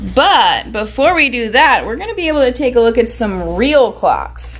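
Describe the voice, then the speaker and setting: Moderate pace against noticeable background noise. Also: woman. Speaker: preschool teacher. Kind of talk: online lesson for young children.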